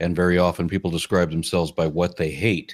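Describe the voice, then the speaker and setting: Very deep and low in pitch, a man with an American accent talks at a very fast pace in a very clean recording with a silent background. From US, Los Angeles. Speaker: podcast host and atheist activist. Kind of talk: interview conversation.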